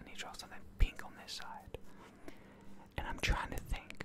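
Loud background noise surrounds a soft-spoken man. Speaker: ASMR creator. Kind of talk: soft-spoken ASMR roleplay. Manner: soft close-mic ASMR murmur. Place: home room. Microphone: studio mic.

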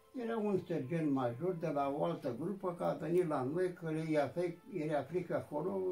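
Faint music plays in the background. A man with a high-pitched voice speaks at a fairly slow pace. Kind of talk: interview answer. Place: home room. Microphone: camera far.

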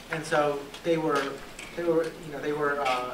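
A man with an American accent, monotone and flat at a moderate pace, over noticeable background noise. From US South. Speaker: law professor. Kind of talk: lecture. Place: classroom. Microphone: handheld.

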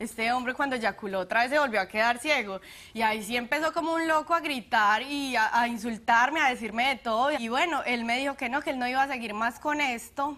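This woman has an Antioquian accent and a high pitch. She talks at a fairly quick pace with ordinary pitch variation. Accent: Colombian paisa Spanish. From Colombia, Medellín. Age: young. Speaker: plaintiff on a TV courtroom show. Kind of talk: courtroom testimony. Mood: earnest, somewhat aggrieved. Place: studio. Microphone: lapel.

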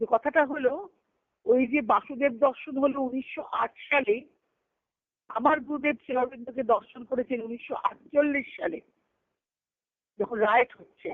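At a moderate pace, a woman talks with a high pitch and ordinary pitch variation, the sound dry and close with no echo.

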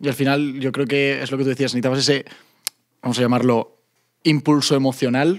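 With a Castilian accent, the speaker moves at a fairly quick pace in a monotone, flat intonation, leaving long, frequent pauses against a quiet background. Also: man. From Spain. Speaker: podcast host. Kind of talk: casual chat. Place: studio. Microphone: studio mic.

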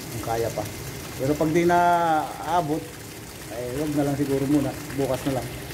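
A man speaks at a fairly high pitch and a fairly quick pace with fairly even intonation, and there is noticeable background noise. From Philippines (Bicol). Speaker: overseas worker vlogger, driver in Saudi Arabia. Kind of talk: casual vlog. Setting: outdoors, garden. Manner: casual, laughs often. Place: garden. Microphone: phone near.

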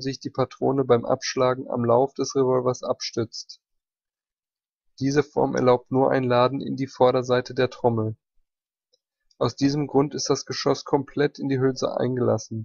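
Monotone, flat intonation marks a man speaking at medium pitch and a moderate pace. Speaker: ammunition history narrator. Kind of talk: technical history narration.

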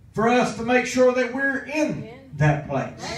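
A man speaks with lively intonation. Audible echo fills the room. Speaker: preacher. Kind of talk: sermon. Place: church. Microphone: camera far.

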